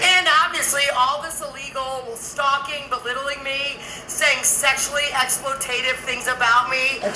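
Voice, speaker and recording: A woman's raised, projected voice, high in pitch with monotone, flat intonation, a moderate pace and big swings in loudness, amid noticeable background noise and audible room echo. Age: 60s. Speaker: vlogger. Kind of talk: casual monologue vlog.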